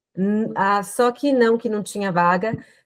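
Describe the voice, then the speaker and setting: At a moderate pace, a woman speaks with ordinary pitch variation in a plain, everyday voice. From Brazil. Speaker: lawyer. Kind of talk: interview.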